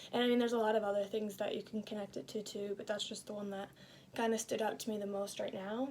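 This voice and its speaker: A woman's raspy put-on character voice at medium pitch, very fast and flat in a monotone, with light background noise. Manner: talking fast, hurried.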